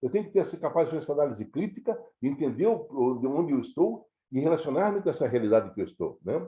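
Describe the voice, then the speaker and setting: At a very fast pace, a man with a fairly high pitch talks in very wide pitch swings. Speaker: scouting educator, retired national office staff. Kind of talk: lecture. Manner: halting, many fillers and repetitions.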